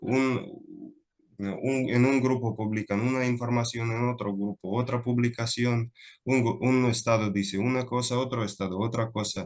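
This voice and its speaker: A man talks at a moderate pace and medium pitch with a non-native accent. His intonation stays fairly even. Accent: non-native Spanish, foreign. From Russia. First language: Russian (speaking Spanish). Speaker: lecturer, speaker. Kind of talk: Q&A after a lecture. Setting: online video call. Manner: halting, many fillers.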